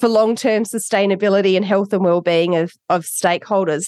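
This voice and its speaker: Delivered at a moderate pace, the voice sounds dry and close, without any echo. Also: woman. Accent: Australian. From Australia, Adelaide. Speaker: author. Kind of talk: interview.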